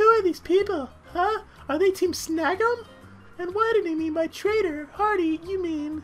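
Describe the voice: Faint music plays in the background. A man uses a put-on character voice at an extremely high pitch and a moderate pace.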